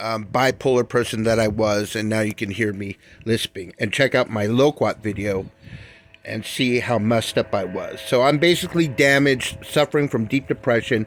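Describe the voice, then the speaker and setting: A man at medium pitch with ordinary pitch variation, plus noticeable background noise. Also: moderate pace. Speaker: cannabis grower vlogger. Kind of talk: casual monologue.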